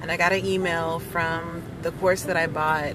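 The speech moves at a moderate pace with ordinary pitch variation. Noticeable background noise and audible room echo are present. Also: woman. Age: 30s. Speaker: podcast host. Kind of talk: solo monologue. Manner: casual, meandering.

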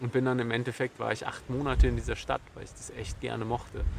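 A man talks at a fairly quick pace in a medium pitch. Noticeable background noise sits behind him. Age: 30s. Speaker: podcast host. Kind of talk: solo monologue. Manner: halting.

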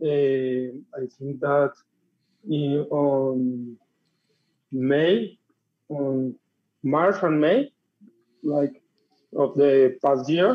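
A man with a Spanish accent talks at a very slow pace, with long, frequent pauses. His fairly high voice keeps fairly even intonation. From Colombia, Bogota. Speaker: tattoo artist. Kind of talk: interview. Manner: halting.

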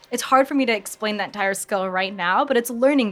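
A woman's voice at a medium pitch with ordinary pitch variation, music playing in the background. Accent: American. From US Midwest, Michigan. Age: 20s. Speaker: author and mental health coach. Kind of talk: interview. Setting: live audience at market venue.

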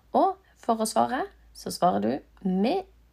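A woman speaks at a very slow pace. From Norway. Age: 30s. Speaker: language teacher. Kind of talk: tutorial.

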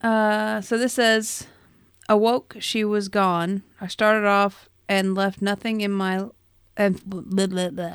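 A woman in an ordinary speaking voice, medium-pitched and fairly slow, with fairly even intonation, in a very clean recording with a silent background. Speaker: player. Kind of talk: casual tabletop roleplaying game chat.

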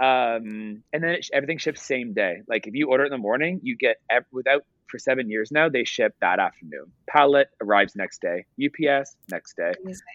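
A man with a Canadian accent and an ordinary speaking voice talks at a fairly quick pace with hardly any pauses. His pitch is fairly high and his intonation lively. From Canada, Ottawa. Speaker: entrepreneur, company founder. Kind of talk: interview. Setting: video call.

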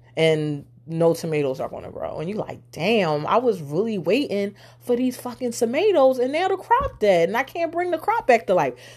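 Through noticeable background noise, a woman in an animated tone speaks at a moderate pace with very wide pitch swings. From Philadelphia, US. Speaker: podcast host. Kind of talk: casual storytelling monologue.

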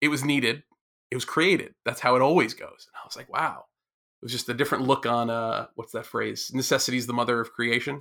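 A man with an unremarkable speaking voice, medium pitch, fairly even intonation, a fairly quick pace and big swings in loudness. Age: 40s. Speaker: maker and educator. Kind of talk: casual chat.

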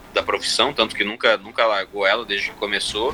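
A man's voice over noticeable background noise. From Brazil, Mato Grosso (Sinop, Cuiabá). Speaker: comedian and blogger. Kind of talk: casual interview. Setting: live stream.

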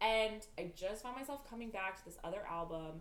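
Speaking at a very fast pace, a woman projects a raised voice through audible room echo. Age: 20s. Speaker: podcast co-host. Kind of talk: casual chat. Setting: in person together.

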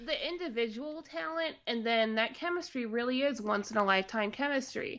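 A woman's high, bright, sharp voice at a moderate pace, with ordinary pitch variation. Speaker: podcast co-host. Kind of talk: casual chat. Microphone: new mic.

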